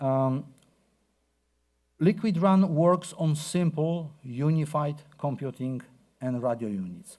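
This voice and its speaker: Speaking at a very slow pace with long, frequent pauses, a man with a Polish accent uses a dark, mellow tone, a fairly high pitch and lively intonation on a very clean recording with a silent background. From Poland. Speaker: researcher. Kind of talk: conference talk. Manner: hesitant, many fillers.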